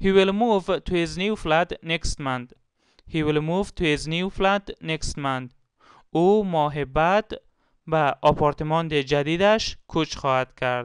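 Speaking very slowly in an Afghan accent, a man with a fairly high pitch is heard against a quiet background, the sound dry and close with no echo. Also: ordinary pitch variation. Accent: Afghan Dari Persian. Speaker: English teacher. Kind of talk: tutorial. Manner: slow, repeating each example twice.

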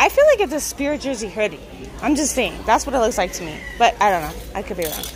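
Speaking fast, a woman uses a fairly high pitch with big swings, over faint background noise.

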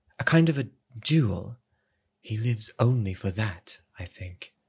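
The recording is very clean, and the background is silent. A man talks in a somewhat breathy voice. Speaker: audiobook narrator. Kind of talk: dramatic audiobook reading.

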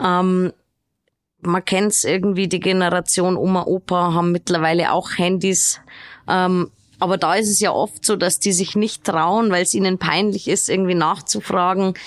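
A woman talks at a moderate pace with monotone, flat intonation and very even loudness. The background is quiet. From Regensburg, Bavaria; Bavaria. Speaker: podcast host. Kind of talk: interview. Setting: studio. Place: studio.

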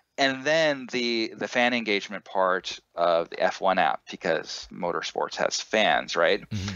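A man speaks at a fairly slow pace with hardly any pauses. The background is quiet. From Southern California. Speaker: electronics company founder. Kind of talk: interview.

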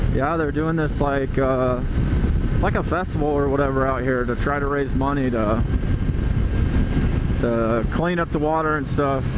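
Over loud background noise, the speech moves at a moderate pace with long, frequent pauses and a dry sound with no echo. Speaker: motorcycle vlogger. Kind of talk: casual vlog chat. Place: motorbike. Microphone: helmet.

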